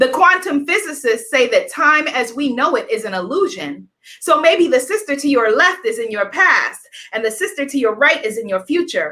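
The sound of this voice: A woman's high-pitched voice with a bright, sharp tone, lively intonation and a moderate pace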